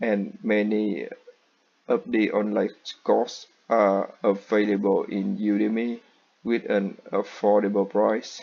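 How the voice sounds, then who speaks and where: Very slow speech from a man with a non-native accent. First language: not English. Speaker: student. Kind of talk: class presentation.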